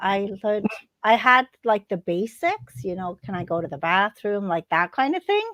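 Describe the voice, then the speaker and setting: The speech moves at a moderate pace with lively intonation, in a dry, close sound with no echo. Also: woman. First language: Estonian. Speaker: podcast co-host. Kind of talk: casual chat.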